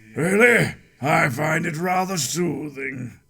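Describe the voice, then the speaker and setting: This man puts on a raspy, cartoonish character voice pitched fairly high. He speaks at a fairly slow pace. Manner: smug, prim.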